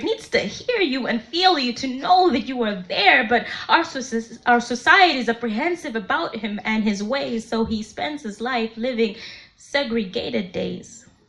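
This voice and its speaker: Over noticeable background noise, a woman speaks fairly slowly in a high pitch with lively intonation. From Malawi. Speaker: poet. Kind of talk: spoken word poetry performance. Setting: live event.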